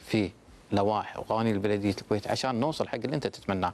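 Man with an ordinary speaking voice, fairly low pitch and fairly even intonation. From Kuwait. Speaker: municipal government official; guest. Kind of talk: TV interview. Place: studio. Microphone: lapel.

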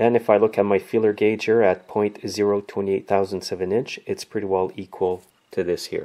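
In a quiet background, a man speaks with a fairly low pitch and monotone, flat intonation. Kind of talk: tutorial. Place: garage.

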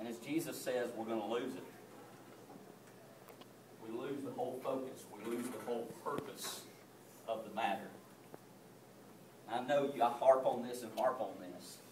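A man speaks at a medium pitch with a slightly mellow tone. His speech has long, frequent pauses, and the room echo is audible. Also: ordinary pitch variation, moderate pace.

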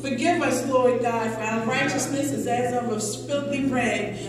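With clear music in the background and strong room echo, a woman speaks at a moderate pace with ordinary pitch variation. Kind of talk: public prayer. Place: church.

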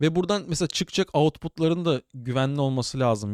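A man with an unremarkable speaking voice, ordinary pitch variation and a fairly quick pace. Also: dry, close sound with no echo. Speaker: tech podcast host, cybersecurity. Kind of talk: casual solo tech news commentary. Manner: chatty, informal.

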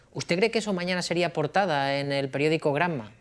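His pace is very fast. The man's intonation stays lively. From Spain. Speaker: interviewer. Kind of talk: interview. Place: home room.

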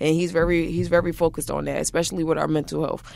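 A woman talks in a fairly low voice with monotone, flat intonation. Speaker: college basketball player. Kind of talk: interview answer. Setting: studio.

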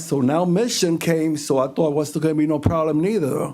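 In an unremarkable speaking voice, a man talks at a fairly high pitch and a moderate pace. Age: 60s. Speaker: transit employee speaking at public comment. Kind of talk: public comment at board meeting.

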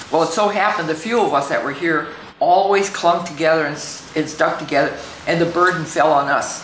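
Amid light background noise and audible room echo, a woman with a fairly low pitch speaks at a fairly quick pace with ordinary pitch variation. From Standing Rock Reservation, North/South Dakota. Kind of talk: elder's reflective life story told to camera. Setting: filmed on location interview. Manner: conversational, reflective; hesitant, repeating words, with fillers. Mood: calm, reflective reminiscing. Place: home room.

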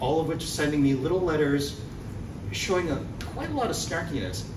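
A man's fairly high voice with an American accent, at a fairly quick pace, over noticeable background noise. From New York City. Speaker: actor. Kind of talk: speech to an audience. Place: hall. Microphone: camera far.

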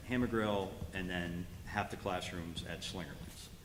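A man talks in a very deep, low pitch with fairly even intonation. Audible room echo surrounds his voice. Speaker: school facilities presenter. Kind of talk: board meeting presentation. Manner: fast.

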